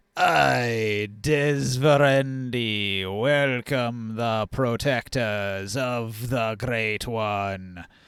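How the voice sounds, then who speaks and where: Putting on a character voice, a man speaks at a very slow pace in a gravelly, rumbling medium pitch with ordinary pitch variation. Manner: rumbling, like an earthquake.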